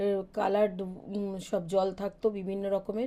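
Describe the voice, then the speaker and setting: The woman's voice has a medium pitch and a dark, mellow tone. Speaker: vlogger. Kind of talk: vlog voice-over.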